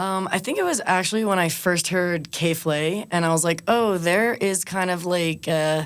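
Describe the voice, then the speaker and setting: In a very clean recording with a silent background, a woman with a normal speaking voice talks at a fairly low pitch and moderate pace, with ordinary pitch variation, very even loudness and hardly any pauses. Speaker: MC and reggaeton DJ. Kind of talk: interview.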